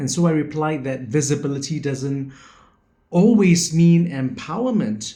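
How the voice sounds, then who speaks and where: A man talks at a fairly slow pace in a fairly high, somewhat breathy voice with lively intonation. Room echo is audible. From Singapore. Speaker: educator and education founder. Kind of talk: video presentation, personal reflection talk. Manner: reflective.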